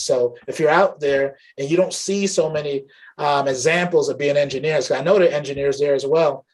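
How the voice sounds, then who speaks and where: Speaking fairly quickly, a man uses a normal speaking voice that is fairly high-pitched with fairly even intonation. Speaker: tech channel host. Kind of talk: interview host talk.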